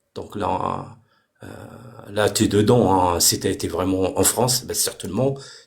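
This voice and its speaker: A man speaks at a fairly low pitch and a fairly slow pace. He leaves long, frequent pauses, with ordinary pitch variation. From Morocco. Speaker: debate participant. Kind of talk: heated debate. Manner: halting, many repetitions and fillers; animated.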